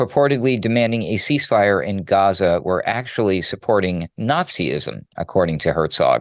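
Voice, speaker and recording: Speaking at a fairly quick pace with lively intonation, a man has a normal speaking voice, pitched fairly low. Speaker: radio news producer. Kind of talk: news segment, commentary.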